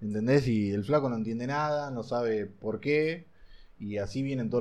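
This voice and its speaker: A man talks in an unremarkable speaking voice at a medium pitch. His pitch variation is ordinary. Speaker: vape shop owner. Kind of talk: casual chat. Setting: in a vape shop.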